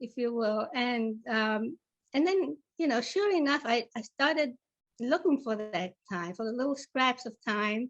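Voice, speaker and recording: A woman with an Italian accent, high pitch, lively intonation and a fairly slow pace. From Italy, with childhood in South Africa. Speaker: novelist. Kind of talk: interview. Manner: halting, many fillers.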